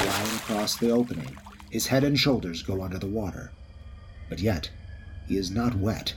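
A man speaks at a moderate pace with lively intonation and a dramatic tone. Noticeable background noise runs underneath. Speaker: dungeon narrator. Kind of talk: fantasy audio drama narration. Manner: dramatic, vivid, brisk action narration with character voices.

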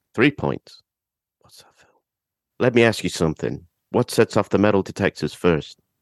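With long, frequent pauses, a man speaks at a fairly low pitch with vocal fry and big swings in loudness, in a dry, close sound with no echo. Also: lively intonation, moderate pace. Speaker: podcaster guest. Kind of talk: film discussion.

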